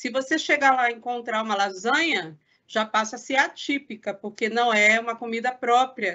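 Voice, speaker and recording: This woman's voice sits high in pitch, and she talks at a moderate tempo. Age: 40s.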